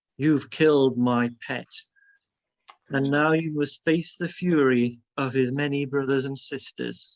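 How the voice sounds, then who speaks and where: A booming put-on character voice at a low-to-middle pitch and a fairly slow pace. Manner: menacing, threatening.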